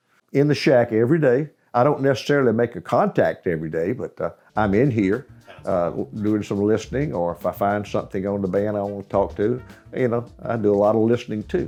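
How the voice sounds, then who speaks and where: A man with a Southern US accent speaks fairly low and fairly quickly with lively intonation. Music plays in the background. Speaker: amateur radio operator. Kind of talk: interview answer. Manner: storytelling.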